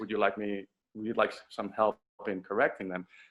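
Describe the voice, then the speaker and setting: The background is quiet as a man speaks at a fairly quick pace. His pitch is fairly low, with ordinary pitch variation. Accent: slight Spanish. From Dominican Republic. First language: Spanish. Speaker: voice actor. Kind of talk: panel webinar talk. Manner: halting, repeats words.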